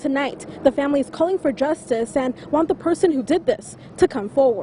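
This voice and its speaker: Lively intonation carries the voice while music plays in the background. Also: woman, high pitch for a woman, fairly quick pace. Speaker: TV news anchor and reporter. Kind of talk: TV news field report.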